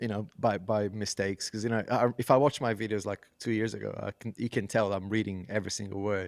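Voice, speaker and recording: This man talks at a fairly quick pace in a fairly low pitch with fairly even intonation, and the very clean recording has a silent background and a dry, close sound with no echo. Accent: non-native. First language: not English. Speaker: podcast co-host and tech YouTuber. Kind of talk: casual chat. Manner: halting, stumbling over words.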